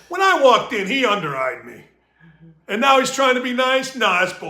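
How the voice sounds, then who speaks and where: Extremely high in pitch, a man's voice is raised and projected. His intonation is lively. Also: fairly quick pace. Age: 60s. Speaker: sports talk podcast host. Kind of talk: casual chat.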